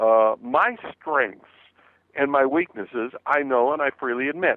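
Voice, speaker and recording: Lively intonation marks a man's unremarkable speaking voice, set at a fairly high pitch. He talks at a moderate pace. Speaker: motivational speaker and author. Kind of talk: radio interview.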